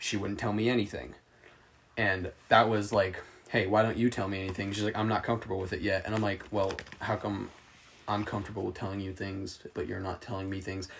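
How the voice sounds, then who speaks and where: Over noticeable background noise, a man talks at a fairly quick pace with a fairly low pitch and fairly even intonation. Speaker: podcast co-host. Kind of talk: casual chat among friends.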